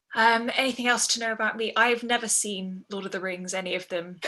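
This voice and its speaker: Noticeable background noise sits under this fairly quick delivery, and the intonation stays fairly even. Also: woman. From Peterborough, England. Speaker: professional singer. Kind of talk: casual introduction on video call.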